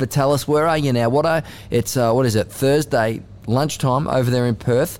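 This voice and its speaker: The speaker is a man with an Australian accent. His pace is moderate. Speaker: sports journalist and podcast host. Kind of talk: casual chat. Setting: studio.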